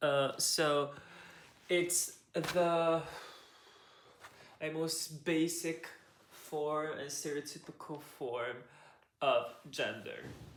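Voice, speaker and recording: A man talks at a very slow pace in a fairly high voice, leaving long, frequent pauses. Audible room echo surrounds him. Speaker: video essayist. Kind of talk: explainer monologue. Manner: halting.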